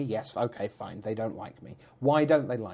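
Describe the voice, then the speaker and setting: With a British accent, a man speaks with ordinary pitch variation. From Britain. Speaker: esports commentator and statistician. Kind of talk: podcast interview. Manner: animated.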